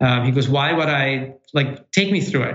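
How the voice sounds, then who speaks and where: A man speaks at a fairly high pitch, with audible room echo. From former Soviet Union, moved to Milwaukee at 10. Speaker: real estate developer. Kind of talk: interview.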